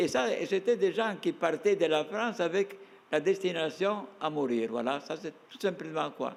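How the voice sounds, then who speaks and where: Pitched high, a man speaks at a fairly slow pace with lively intonation. His loudness swings widely. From Trieste, Slovene community. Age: 80s+. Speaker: author, concentration camp survivor. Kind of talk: talk-show interview answer.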